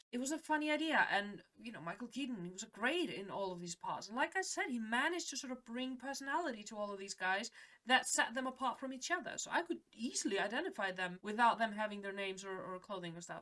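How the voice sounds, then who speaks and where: A woman with a non-native accent talks very fast with hardly any pauses, her fairly high voice bright and sharp, swinging very widely in pitch and greatly in loudness. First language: not English. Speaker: film reaction youtuber. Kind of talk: casual film reaction and review.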